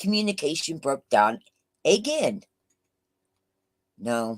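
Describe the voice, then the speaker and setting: A woman speaks loudly at a very slow pace, her fairly low voice making very wide pitch swings. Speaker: YouTube livestreamer. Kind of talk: casual live chat. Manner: halting with fillers.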